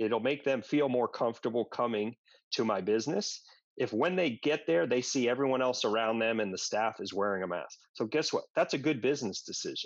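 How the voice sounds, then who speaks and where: An unremarkable speaking voice with lively intonation moves at a fairly quick pace over a quiet background. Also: man. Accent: American. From New York suburbs (Westchester County). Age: 40s. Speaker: gym owner and fitness trainer. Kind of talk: casual interview conversation.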